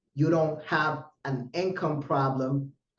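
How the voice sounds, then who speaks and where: A man talks very slowly in a somewhat breathy voice, his pitch varying in an ordinary way. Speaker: trading educator livestream host. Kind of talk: live webinar presentation. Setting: livestream. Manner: aggressive.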